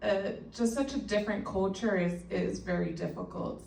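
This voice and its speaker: Woman at a fairly slow pace, with audible room echo and noticeable background noise. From El Salvador. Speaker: patient advocate. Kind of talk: panel discussion.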